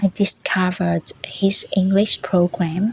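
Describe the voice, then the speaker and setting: Very slow speech in a Vietnamese accent, with noticeable background noise. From northern Vietnam, Bac Giang. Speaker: language learning vlogger, former food tour guide. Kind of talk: personal storytelling monologue.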